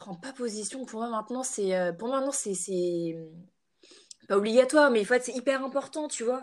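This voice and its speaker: Speaking at a fairly slow pace, a woman with a high pitch shows ordinary pitch variation. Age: 20s. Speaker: entrepreneur, natural cosmetics brand founder. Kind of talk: casual interview chat.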